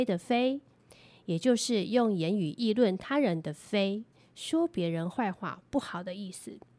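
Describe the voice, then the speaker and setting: On a very clean recording with a silent background, a woman speaks very slowly at a medium pitch with lively intonation. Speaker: lawyer. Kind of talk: scripted legal explainer podcast.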